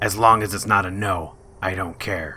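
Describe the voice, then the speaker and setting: A man puts on a raspy character voice with a very deep, low pitch, speaking at a moderate pace. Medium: machinima. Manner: dry, wry.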